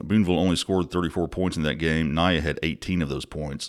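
Over a very clean recording with a silent background, a man with a Mississippi accent and a very deep, low pitch talks at a fairly quick pace. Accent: Southern US (Mississippi). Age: 40s. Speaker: sports journalist podcast host. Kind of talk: casual sports podcast report. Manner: casual, many fillers.

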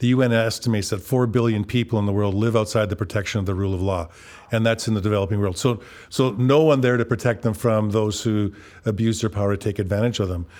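On a very clean recording with a silent background, the speaker talks at a very fast pace with fairly even intonation. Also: man. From Western Canada (Kelowna, BC). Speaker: advocacy organization director. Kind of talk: interview. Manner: halting, frequent word repetitions.

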